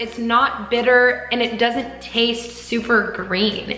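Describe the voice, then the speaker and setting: Music plays behind a woman with a fairly high pitch. Audible room echo fills the recording. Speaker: lifestyle vlogger. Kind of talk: casual haul vlog. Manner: animated.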